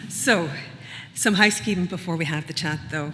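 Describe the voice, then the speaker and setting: In a Northern Irish accent, a woman speaks at a fairly low pitch. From Northern Ireland. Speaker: event host. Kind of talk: event welcome speech. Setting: venue with live and online audience.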